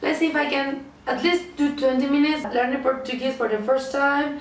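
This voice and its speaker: A high-pitched woman talks in a Spanish accent. Audible room echo and noticeable background noise fill the recording. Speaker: language-learning vlogger. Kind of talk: tutorial.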